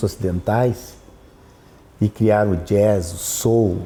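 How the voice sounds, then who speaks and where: A man's fairly low voice comes across dark, mellow and somewhat breathy, with ordinary pitch variation. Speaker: opera tenor. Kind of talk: interview conversation. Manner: animated.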